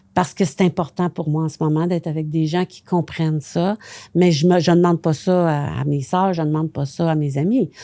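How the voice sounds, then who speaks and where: The voice has a dark, mellow tone and fairly even intonation at a moderate pace, recorded dry and close with no echo. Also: woman. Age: 70s. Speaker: astrologer and author. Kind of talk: podcast interview.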